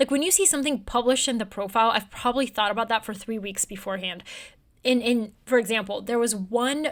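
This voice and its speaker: A woman's fairly high voice at a very fast pace, with ordinary pitch variation, in a very clean recording with a silent background. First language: Bulgarian. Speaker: newsletter writer and journalist. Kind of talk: interview conversation.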